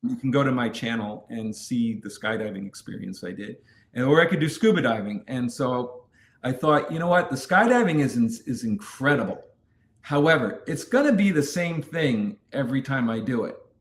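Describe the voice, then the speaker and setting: An ordinary speaking voice with an American accent, lively intonation and a moderate pace. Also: man, medium pitch for a man. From New York City. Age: 50s. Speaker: adventure content creator. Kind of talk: interview.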